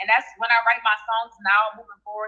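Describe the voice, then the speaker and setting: A woman with a New Orleans accent and a fairly high pitch. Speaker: rap artist. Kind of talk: radio interview.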